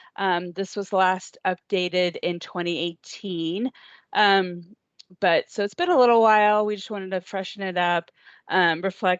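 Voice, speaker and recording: In a quiet background with a dry, close sound and no echo, a woman with an unremarkable speaking voice talks fairly slowly at a medium pitch. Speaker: transportation agency staff presenting training. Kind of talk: training presentation. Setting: video call.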